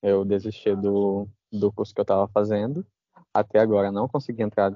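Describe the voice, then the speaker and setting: A man is speaking. His pitch is fairly low. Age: 20s. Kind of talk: casual chat.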